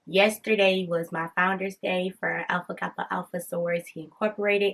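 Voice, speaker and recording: A woman's medium-pitched voice at a fairly quick pace, with monotone, flat intonation. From US Midwest, Detroit. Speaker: podcast host. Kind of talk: casual chat.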